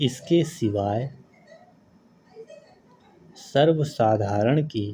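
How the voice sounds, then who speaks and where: The speaker is a man with a medium pitch. His pitch variation is ordinary. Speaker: stenography dictation reader. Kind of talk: slow legal text dictation for typing practice. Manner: slow, clear.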